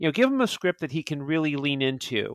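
Talking at a fairly quick pace, a man uses a fairly high pitch. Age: 40s. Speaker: film podcast guest. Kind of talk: casual chat. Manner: halting, many fillers and repeats.

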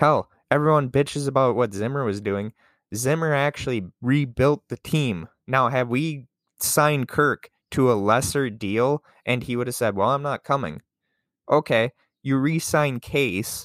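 A man with an American accent, medium pitch, an animated tone and ordinary pitch variation at a fairly slow pace, in a dry, close, very clean recording with a silent background and no echo. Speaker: podcast host, sports fan. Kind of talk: angry sports rant, profane and fiery, delivered solo. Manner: animated, indignant, sarcastic, swearing and venting.

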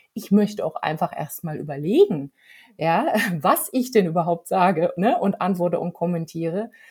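Lively intonation in a dark, mellow, somewhat breathy tone. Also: woman. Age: middle-aged. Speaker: podcast host. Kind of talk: casual chat.

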